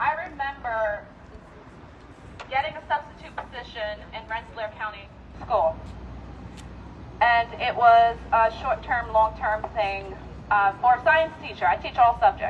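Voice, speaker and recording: Over noticeable background noise, a woman speaks at a fairly slow pace with long, frequent pauses. Her voice is fairly high, with ordinary pitch variation and big swings in loudness. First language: not English. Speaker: teacher, rally speaker. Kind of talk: rally speech. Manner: animated.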